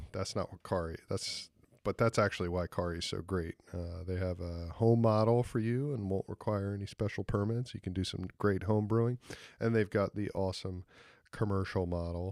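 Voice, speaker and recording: In a normal speaking voice, a man with an American accent talks at a moderate pace, fairly low in pitch with fairly even intonation, on a very clean recording with a silent background and a dry, close sound with no echo. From Philadelphia, US. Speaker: podcast host, winemaker. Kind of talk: sponsor read, casual ad-lib. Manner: casual, joking with fillers.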